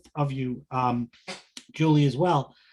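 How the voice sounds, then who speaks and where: A man talks with an American accent. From Long Island, New York. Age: 60s. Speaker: business group member. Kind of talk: question at a business meeting.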